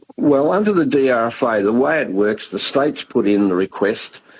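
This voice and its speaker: This man has an Australian accent. He is the only speaker described. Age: 70s. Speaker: government disaster agency head. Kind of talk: radio interview. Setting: radio studio.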